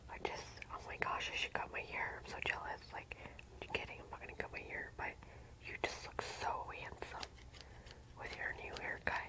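Whispering and soft-spoken, the speaker keeps a moderate pace with long, frequent pauses over loud background noise. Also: woman. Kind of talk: ASMR roleplay talk to viewer. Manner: soft close-mic ASMR whisper. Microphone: phone near.

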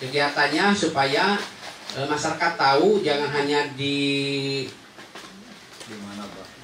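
A man speaks at a moderate pace with a fairly high pitch. Audible room echo and noticeable background noise surround him. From West Java (Sundanese). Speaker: local government enforcement official; guest. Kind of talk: public information talk / interview. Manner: halting, many fillers. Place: studio.

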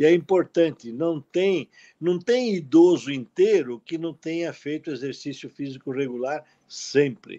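A man talks at a fairly slow pace in a dark, mellow tone. His pitch varies in an ordinary way, and the background is quiet. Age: 70s. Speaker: cardiologist; guest. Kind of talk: live webinar talk. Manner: animated. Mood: animated, cautionary. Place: home room. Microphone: video call.

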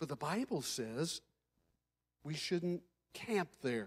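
Very slow delivery from a man, quiet surroundings behind him. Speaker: pastor. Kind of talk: sermon. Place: church. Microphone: handheld.

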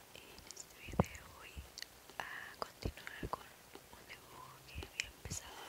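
Someone whispers at a fairly slow pace. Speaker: ASMR creator. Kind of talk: ASMR whisper video. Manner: whispered. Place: home room. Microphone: phone near.

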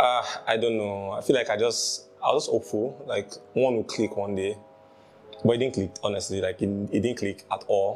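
Fairly quick speech from a man, music in the background. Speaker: interviewee. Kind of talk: interview answer. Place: home room.

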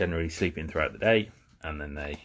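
A man is speaking. His pitch is very deep and low. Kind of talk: informal educational talk. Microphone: phone near.

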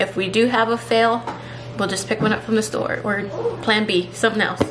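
The speech comes at a fairly quick pace with flat, monotone intonation. Noticeable background noise is present. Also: woman. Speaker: home cooking vlogger. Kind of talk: casual vlog chat. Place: kitchen.

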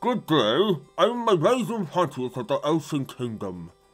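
With faint music in the background, a man uses a put-on character voice at a high pitch and a moderate pace. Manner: formal, scheming.

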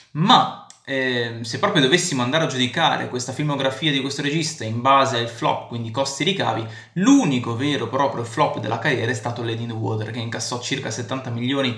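With audible room echo, a man talks at a fairly quick pace using ordinary pitch variation. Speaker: film commentator vlogger. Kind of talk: commentary. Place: home room. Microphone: phone near.

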